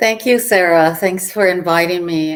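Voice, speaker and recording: A woman with a fairly low pitch speaks in an American accent. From Arizona, Tucson. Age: 60s. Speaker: author and historian. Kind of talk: presentation talk. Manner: halting, many fillers.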